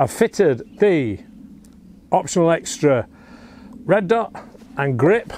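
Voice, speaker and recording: Against light background noise, a man's pitch swings very widely in a dry sound with no echo. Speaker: air rifle reviewer. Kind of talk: product review tutorial. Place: garden.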